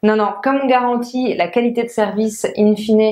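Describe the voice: A woman speaks at a moderate pace. Her tone is slightly mellow.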